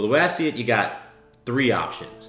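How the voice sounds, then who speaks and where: Faint music plays in the background as a man speaks. The room echo is audible. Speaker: dating coach youtuber. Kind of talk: commentary. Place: home room.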